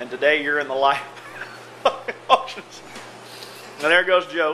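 A man talks fairly slowly with light background noise. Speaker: auctioneer, owner of an auction company. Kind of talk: casual talk to camera, workplace video tour. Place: office. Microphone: phone near.

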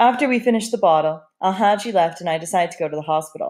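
The text is read aloud in a natural-sounding voice.

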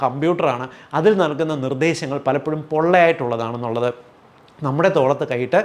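This man has a normal speaking voice with a fairly high pitch. His pitch varies in an ordinary way. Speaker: homeopathic doctor. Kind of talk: educational health talk to camera.

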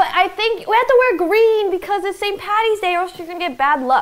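A woman talks in an animated tone. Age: 20s. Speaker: streamer; guest. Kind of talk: casual chat. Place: kitchen. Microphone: lapel.

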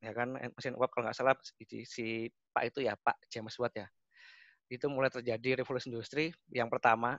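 Against a quiet background, a man's voice comes through dry with no echo. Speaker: automation technical expert, webinar speaker; webinar speaker. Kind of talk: webinar presentation. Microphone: connection dropped; video call.

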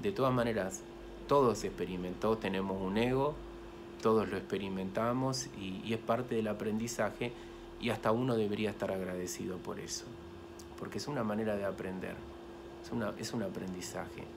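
Fairly low male speech with noticeable noise behind it. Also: ordinary pitch variation, fairly quick pace. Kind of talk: casual vlog chat about spirituality. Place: home room. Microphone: phone near.

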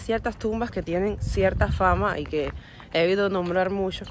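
Speaking with vocal fry at a moderate pace, a woman keeps a fairly even intonation in a dry sound with no echo, with light background noise. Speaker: travel vlogger. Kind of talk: casual vlog chat. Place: open country. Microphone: phone near.

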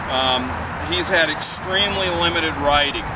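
A man talks at a moderate pace in a dry sound with no echo, while loud background noise fills the clip. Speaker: horse trainer. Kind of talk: tutorial. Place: open country. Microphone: camera far.

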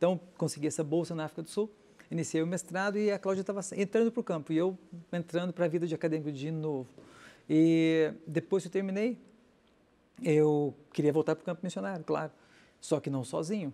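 Dark and mellow in tone, this man's voice sits high in pitch with ordinary pitch variation. He talks at a fairly quick pace but leaves long, frequent pauses. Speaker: dentist and missionary. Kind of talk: interview. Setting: studio. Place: studio. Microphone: lapel.

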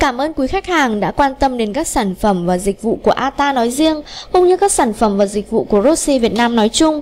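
A woman's fairly high voice with a slightly mellow tone, lively intonation and a moderate pace

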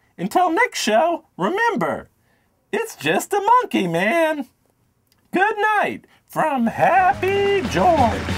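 A cartoonish character voice at an extremely high pitch and very slow pace. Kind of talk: talk show host. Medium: puppet.

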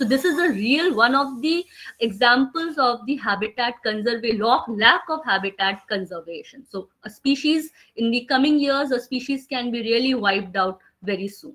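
Lively intonation at a moderate pace, with an Indian accent. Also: woman, high pitch for a woman. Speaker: conservation speaker. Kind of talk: webinar presentation. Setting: video call. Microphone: webcam.

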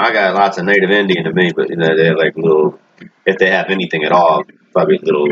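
A man talks at a moderate pace. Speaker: religious commentator. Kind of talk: commentary. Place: home room. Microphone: webcam.

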